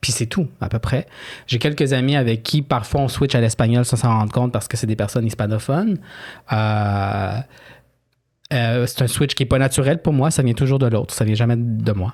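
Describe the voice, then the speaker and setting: A man talks with a Quebec accent at a moderate pace and medium pitch. His loudness stays very even, and his pitch varies in an ordinary way. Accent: Québécois French. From Quebec, Chilean immigrant family. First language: Spanish (speaking French). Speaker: author. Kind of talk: interview. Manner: hesitant, many fillers.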